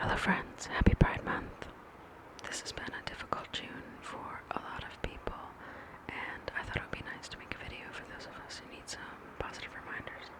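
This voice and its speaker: Whispering at a fairly quick pace. There is noticeable background noise. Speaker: ASMR creator. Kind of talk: ASMR intro talk to camera. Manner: whispered.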